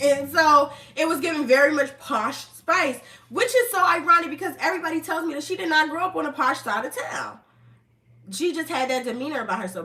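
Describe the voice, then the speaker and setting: Raising and projecting her voice, a woman with an American accent speaks at a high pitch in an animated tone, with very wide pitch swings, at a fairly quick pace over noticeable background noise. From New Jersey, US. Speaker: online commentator. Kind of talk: casual live stream commentary. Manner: fast.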